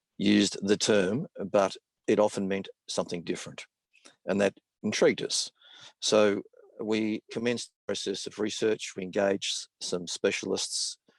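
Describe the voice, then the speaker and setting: A man with an Australian accent talks at a moderate pace, leaving long, frequent pauses. The sound is dry and close, with no echo. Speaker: business consultant. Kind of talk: webinar presentation.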